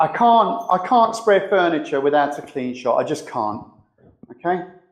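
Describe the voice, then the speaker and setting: Loud and high-pitched, a man speaks at a moderate pace with lively intonation. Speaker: spray painter and show host. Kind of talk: live demonstration tutorial. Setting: live streamed workshop demo. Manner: casual, conversational.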